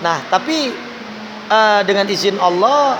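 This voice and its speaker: A man's high-pitched voice with ordinary pitch variation, amid audible room echo and noticeable background noise. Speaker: calligrapher and politician. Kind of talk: interview. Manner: casual, conversational.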